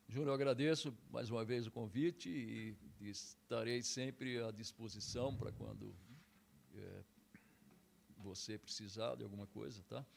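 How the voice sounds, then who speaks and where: A man speaks at a fairly slow pace, leaving long, frequent pauses. His pitch sits in the middle range, with vocal fry. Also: ordinary pitch variation. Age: 60s. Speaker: karate instructor. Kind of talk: interview.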